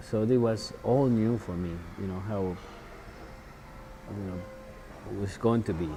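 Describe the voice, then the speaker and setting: Over music in the background and audible room echo, a man with a Mexican accent speaks at a moderate pace and fairly low pitch, with ordinary pitch variation and long, frequent pauses. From Mexico, Puebla. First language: Spanish. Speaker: chef. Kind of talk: interview. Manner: halting, many fillers.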